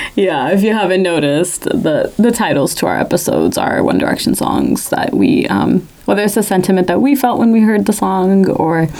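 Moderately paced speech full of lively intonation, set against noticeable background noise. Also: woman. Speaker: podcast co-host and audio engineer. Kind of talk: casual chat.

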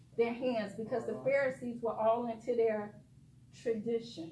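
A woman's high voice with an American accent, at a moderate pace, with audible room echo and noticeable background noise. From Detroit, US Midwest. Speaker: guest preacher. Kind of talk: sermon.

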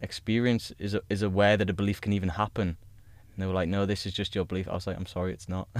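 A man's fairly low voice, very fast and monotone with flat intonation. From grew up in the countryside. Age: 20s. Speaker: ex-paratrooper, personal trainer and life coach. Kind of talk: casual chat. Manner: calm.

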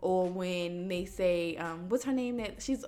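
Over noticeable background noise, a woman's medium-pitched voice moves in very wide pitch swings. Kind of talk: casual chat.

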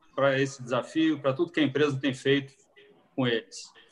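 This man speaks with a fairly high pitch. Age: 50s. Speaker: restaurant franchise executive. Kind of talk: live-stream talk. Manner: halting.

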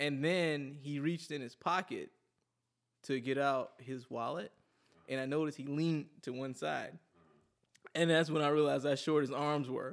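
Fairly high-pitched for a man, he speaks at a moderate pace with fairly even intonation and long, frequent pauses. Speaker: podcast co-host. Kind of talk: casual comedic banter.

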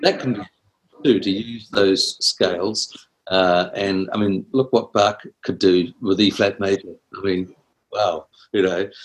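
A man speaks very slowly at a fairly low pitch, with a New Zealand accent. His intonation stays fairly even. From New Zealand, Wellington. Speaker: composer and music teacher. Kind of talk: interview. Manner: halting.

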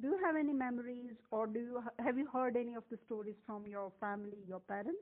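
A woman uses an ordinary speaking voice, fairly high in pitch with ordinary pitch variation. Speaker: podcast host. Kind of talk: interview.

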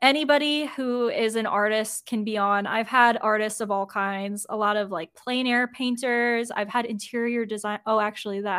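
A woman with a plain, everyday voice speaks at a fairly high pitch and moderate pace, with fairly even intonation and hardly any pauses, on a very clean recording with a silent background. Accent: American. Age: 20s. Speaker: graphic designer. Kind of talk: casual chat.

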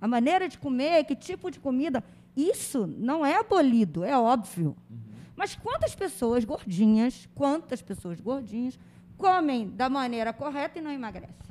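A woman's high-pitched voice at a fairly slow pace, with very wide pitch swings, big swings in loudness and noticeable background noise. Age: 50s. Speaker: teacher and life coach. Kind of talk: interview conversation. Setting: studio. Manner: animated.

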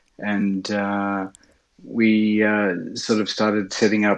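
Against a quiet background, a man with an Australian accent speaks at a fairly low pitch. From Sydney, Australia. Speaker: pilot and backcountry ski operator. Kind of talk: casual interview chat. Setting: video call.

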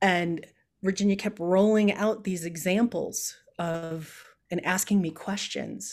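In a very clean recording with a silent background, a woman with an ordinary speaking voice talks at a fairly slow pace and a medium pitch, with fairly even intonation. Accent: American. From Chicago. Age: 50s. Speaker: political candidate. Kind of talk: interview.

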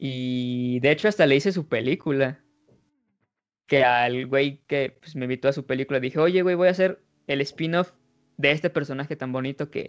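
A man with a Mexican accent, fairly high pitch, ordinary pitch variation and a moderate pace. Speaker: podcast host. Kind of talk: casual chat.

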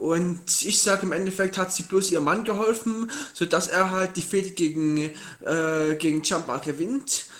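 Ordinary pitch variation at a moderate speed, over noticeable background noise. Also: man. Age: 20s. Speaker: podcast guest, wrestling fan. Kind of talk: casual chat. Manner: halting.

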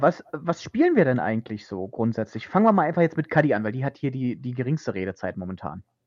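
At a very fast pace, a man speaks at a medium pitch with very wide pitch swings. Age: 20s. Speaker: podcast host. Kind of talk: casual chat. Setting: remote recording over the internet.

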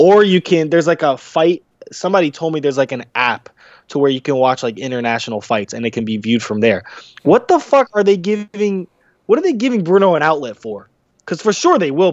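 A man with a fairly high pitch talks at a fairly quick pace, his pitch swinging very widely. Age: 20s. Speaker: boxer and segment co-host. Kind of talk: casual chat.

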